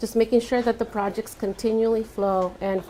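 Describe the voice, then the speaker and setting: The speaker is a woman with a Spanish accent. She keeps a moderate pace and a flat, monotone intonation. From Santa Barbara, California (moved from Mexico at about five). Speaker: architect. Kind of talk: panel talk answering audience questions. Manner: hesitant with many fillers.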